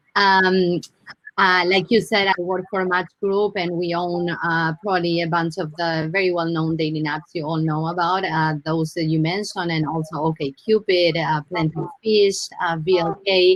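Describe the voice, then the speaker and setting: With an Argentine accent, a woman talks at a moderate pace and fairly low pitch in a monotone, flat delivery with hardly any pauses. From Argentina. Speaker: brand marketing director. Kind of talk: panel discussion.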